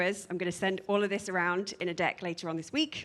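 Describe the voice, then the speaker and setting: In a British accent, a woman speaks very fast in a bright, sharp tone. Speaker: product manager. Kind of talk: conference talk.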